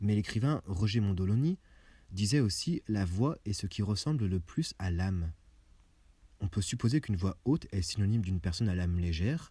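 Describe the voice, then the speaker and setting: A soft-spoken man with a fairly low pitch talks at a moderate pace with lively intonation, sounding somewhat breathy in a dark, mellow tone. The recording is very clean with a silent background. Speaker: video essayist. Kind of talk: scripted narration.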